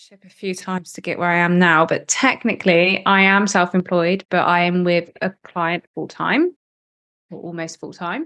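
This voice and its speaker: Against a quiet background, a woman speaks in a West Country accent. Her pitch is medium and her pace moderate. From Cornwall, southwest England. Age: 20s. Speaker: marketer and podcast producer. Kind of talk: interview.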